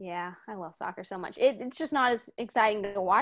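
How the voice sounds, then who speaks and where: Speaking at a moderate pace, a woman with an American accent has a normal speaking voice, medium pitch and ordinary pitch variation. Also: quiet background. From Houston, Texas. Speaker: sports recruiting analyst. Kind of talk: interview.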